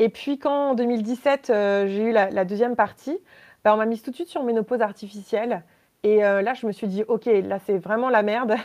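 A woman speaks at a moderate pace in a fairly high pitch with ordinary pitch variation, over a quiet background. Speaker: lithotherapist and entrepreneur. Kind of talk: casual interview, personal testimony. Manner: hesitant, many fillers.

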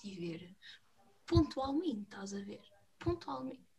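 A woman with a European Portuguese accent talks at a fairly quick pace. Her tone is animated. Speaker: podcast host. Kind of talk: casual chat.

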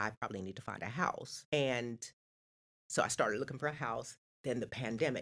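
The speech moves at a fairly quick pace, broken by long, frequent pauses. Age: 50s. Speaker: podcast guest. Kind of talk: casual chat.

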